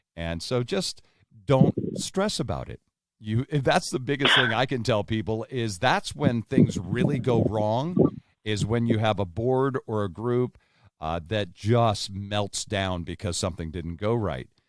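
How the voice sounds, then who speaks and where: A man in a normal speaking voice talks fairly slowly at a fairly low pitch, with lively intonation. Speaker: podcast host. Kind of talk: casual podcast conversation.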